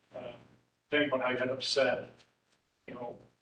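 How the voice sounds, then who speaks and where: A monotone, flat delivery with an American accent and audible room echo. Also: man. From central Illinois (Neoga). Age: 60s. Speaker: public commenter at council meeting. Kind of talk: public comment. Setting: city council meeting.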